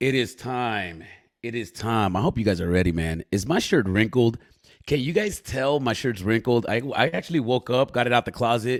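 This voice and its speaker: Delivered at a moderate pace, the voice has an animated tone and lively intonation. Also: man, medium pitch for a man. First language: not English. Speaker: podcast host. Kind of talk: casual live-stream interview. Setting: live stream. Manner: animated, hype.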